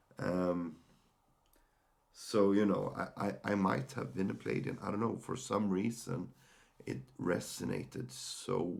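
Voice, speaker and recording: Vocal fry colors this man's medium-pitched voice. He speaks with a Swedish accent. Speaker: mental health podcaster. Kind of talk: personal sharing monologue. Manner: halting, many fillers and repeated words.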